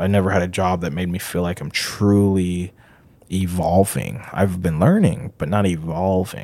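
Very deep and low in pitch, a man with an American accent speaks in a dark, mellow tone at a moderate pace with fairly even intonation. The recording is very clean, with a silent background. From Haiti, then Minnesota from age six. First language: Haitian Creole. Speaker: interviewee sharing life story, painter. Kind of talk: personal storytelling. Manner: casual, many fillers.

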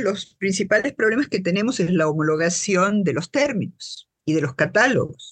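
A woman speaks at medium pitch, somewhat breathy, with very wide pitch swings. The sound is dry and close, with no echo. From Argentina, Buenos Aires. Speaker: social scientist and patient advocate. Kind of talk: interview.

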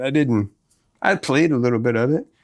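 A man with a Southern US accent, medium pitch, moderate pace and ordinary pitch variation, on a very clean recording with a silent background. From Tennessee (Memphis area), later Mississippi. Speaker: guitarist and singer. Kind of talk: casual interview chat.

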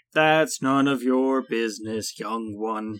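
He talks at a fairly slow pace with a medium pitch. The man is doing a put-on character voice. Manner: stern, nearly shouting.

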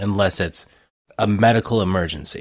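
A man with an American accent has an ordinary speaking voice, fairly low in pitch with ordinary pitch variation, on a very clean recording with a silent background. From Ohio, US. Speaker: podcast co-host. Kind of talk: casual chat.

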